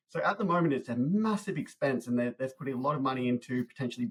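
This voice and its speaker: A man speaks with an Australian accent at medium pitch. His voice is somewhat breathy. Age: young. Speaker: podcast host, marketing lecturer. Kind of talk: interview conversation. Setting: podcast interview.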